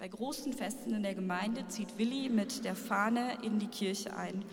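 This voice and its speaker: Audible room echo around a woman's medium-pitched voice. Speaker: church pastoral worker. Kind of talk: spoken-word performance.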